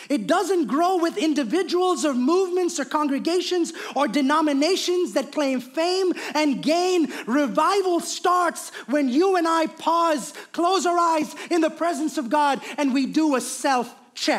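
The delivery is animated and fairly slow, with hardly any pauses. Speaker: preacher. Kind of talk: sermon. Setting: church. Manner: animated, preaching style.

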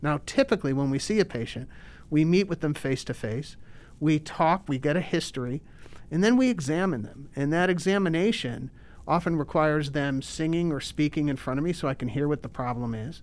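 In a very clean recording with a silent background, a man speaks at a fairly quick pace with a fairly high pitch. He has an unremarkable speaking voice with ordinary pitch variation. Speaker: ENT surgeon. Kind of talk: interview.

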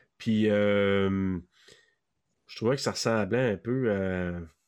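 A man at a fairly low pitch and very slow pace against a quiet background. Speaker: podcast co-host guest. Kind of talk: casual chat.

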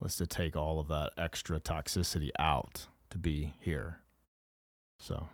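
A man with an American accent and a very deep, low pitch, fairly slow with long, frequent pauses, in a very clean recording with a silent background. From rural Kansas, Flint Hills. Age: 40s. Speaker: recovered addict telling his story. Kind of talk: testimony.

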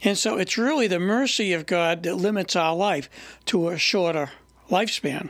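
A man speaks at a high pitch with ordinary pitch variation and a moderate pace. His loudness stays very even in a very clean recording with a silent background. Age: 70s. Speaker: lay Bible teacher. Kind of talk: informal teaching.

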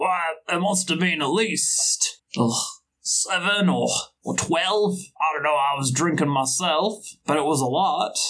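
Putting on a gruff character voice, a man speaks fairly slowly at a high pitch, with long, frequent pauses. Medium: actual play. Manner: blunt, casual.

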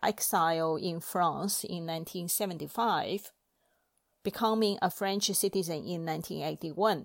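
A woman with a Chinese accent, very slow pace and ordinary pitch variation. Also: very clean recording, silent background. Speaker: library podcast presenter. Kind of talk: scripted talk on books.

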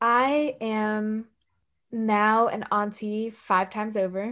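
On a very clean recording with a silent background, a woman speaks at a very slow pace and a fairly high pitch. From US South, Puerto Rican and Dominican family. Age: 20s. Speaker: activist and organization director. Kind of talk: casual interview.

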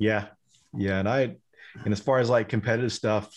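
Over a quiet background, the speech comes at a very fast pace with fairly even intonation. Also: man. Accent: Texan. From Texas, Denton. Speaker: cybersecurity professional and instructor. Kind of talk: casual chat.

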